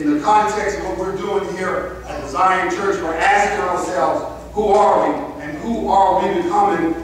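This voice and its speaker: With strong room echo and light background noise, a man speaks at a moderate pace in a high pitch with fairly even intonation. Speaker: preacher. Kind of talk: sermon. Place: church.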